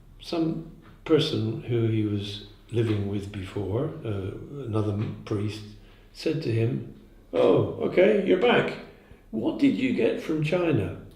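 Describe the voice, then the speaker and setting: A man at medium pitch, with very wide pitch swings, a very slow pace, long and frequent pauses, and audible room echo. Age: 70s. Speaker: zen teacher. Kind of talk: dharma talk. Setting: meditation day talk in Prague. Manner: halting.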